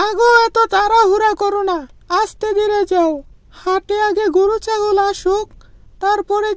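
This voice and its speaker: Using a cartoonish character voice, a woman speaks at a fairly slow pace in an extremely high pitch with monotone, flat intonation. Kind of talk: Bangla cartoon dubbing. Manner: gentle, soothing.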